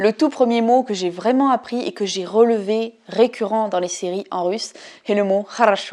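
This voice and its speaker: A woman's fairly high voice with a dark, mellow tone, ordinary pitch variation and a moderate pace. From France. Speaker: language learning vlogger. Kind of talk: vlog, progress review. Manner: animated.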